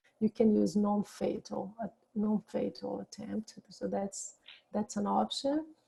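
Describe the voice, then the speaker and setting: A woman speaks at a fairly slow pace. The sound is dry and close with no echo. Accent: non-native. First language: not English. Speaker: suicide prevention speaker. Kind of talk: lecture. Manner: halting.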